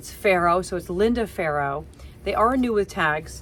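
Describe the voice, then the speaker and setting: A woman speaks at a fairly slow pace. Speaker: part-time online reseller, teacher. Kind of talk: casual haul video talk. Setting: home basement. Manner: halting.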